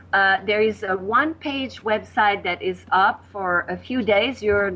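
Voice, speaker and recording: Speaking fairly slowly with a French accent, a woman uses a medium pitch and ordinary pitch variation. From Quebec, Canada. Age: 60s.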